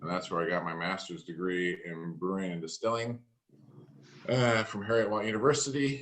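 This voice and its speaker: With an American accent, a man speaks at a fairly low pitch and a moderate pace. His pitch varies by an ordinary amount. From US West Coast, Portland, Oregon. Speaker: master distiller. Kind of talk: casual interview. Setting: video call.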